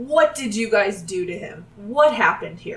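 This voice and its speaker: In a put-on character voice, a woman speaks. Her pitch is fairly high and her pace moderate. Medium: actual play.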